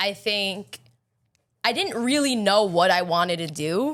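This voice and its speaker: Speaking in a strong Long Island accent, a woman has an animated tone and lively intonation. Her pace is moderate. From Long Island, New York. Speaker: pastry chef and baker. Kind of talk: podcast interview.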